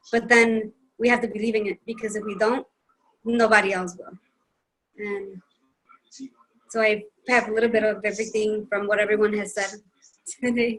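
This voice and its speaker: A woman's fairly high, monotone voice with flat intonation and long, frequent pauses. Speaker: team member in a health and wellness group. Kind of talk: casual group video meeting share. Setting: video call. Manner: fast; mumbling.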